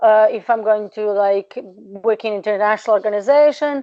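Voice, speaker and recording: A fairly high-pitched woman in a Serbian accent, with fairly even intonation and a moderate pace. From Serbia (Balkans). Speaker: researcher and PhD candidate. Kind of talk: interview. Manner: hesitant, many fillers.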